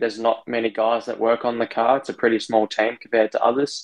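Against a quiet background, a man with an Australian accent and a medium pitch talks at a fairly quick pace. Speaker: racing driver. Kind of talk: interview.

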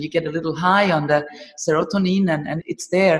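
Fairly low in pitch, a woman talks fairly quickly against noticeable background noise. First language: German. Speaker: movement teacher and trainer. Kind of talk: interview.

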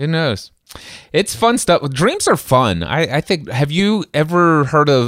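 A man with a plain, everyday voice and lively intonation, at a moderate pace, in a very clean recording over a silent background. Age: 40s. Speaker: podcast host. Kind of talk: casual chat.

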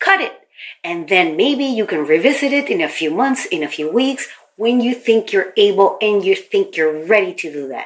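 Her pitch sits fairly high and swings very widely. The woman keeps a moderate pace. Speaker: podcast host, branding consultant. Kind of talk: solo podcast monologue, coaching tips.

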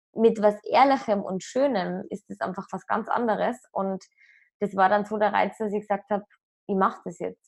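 An unremarkable speaking voice talks at a moderate pace. The intonation stays fairly even. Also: woman. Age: 20s. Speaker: app startup employee. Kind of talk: casual chat.

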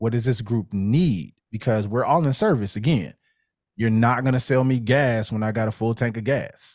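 In a very clean recording with a silent background, a man with an American accent uses an unremarkable speaking voice, medium pitch, ordinary pitch variation and a moderate pace. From Chicago, West Side. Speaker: music educator and producer. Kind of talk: casual interview.

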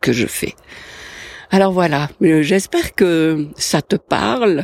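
A woman speaks at a very slow pace with a very deep, low pitch. Her intonation is lively, and the sound is dry and close with no echo. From Switzerland, Valais. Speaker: life coach podcaster. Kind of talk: solo podcast talk. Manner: hesitant, many fillers.

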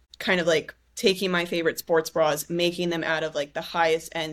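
On a very clean recording with a silent background, a woman with an American accent speaks fairly quickly in a fairly low pitch, a plain, everyday voice. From US West Coast, San Diego. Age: 20s. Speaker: activewear company founder, former college volleyball player. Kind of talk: casual interview conversation.

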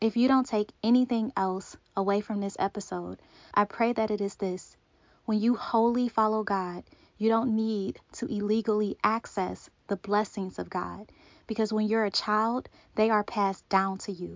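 A woman speaks in a normal speaking voice, with a fairly high pitch. Her intonation stays fairly even, and her pace is moderate. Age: 30s. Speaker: podcast host and author. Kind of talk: faith podcast monologue.

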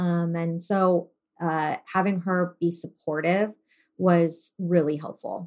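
Speaking at a very slow pace, a woman holds a fairly low pitch in a monotone, flat intonation. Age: 40s. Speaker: business owner and mother. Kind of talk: interview.

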